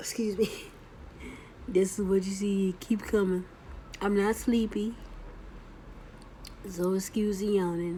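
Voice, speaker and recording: A woman's somewhat breathy, medium-pitched voice at a fairly slow pace, flat and monotone throughout. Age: 40s. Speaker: stroke survivor vlogger. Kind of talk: casual vlog monologue. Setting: video recording for YouTube. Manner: halting with frequent pauses; delayed speech with yawning.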